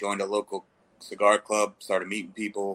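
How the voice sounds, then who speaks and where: Here a man speaks at a fairly quick pace with a fairly low pitch. His tone is bright and sharp. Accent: American. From Baltimore, Maryland. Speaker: cigar company founder. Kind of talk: casual interview chat.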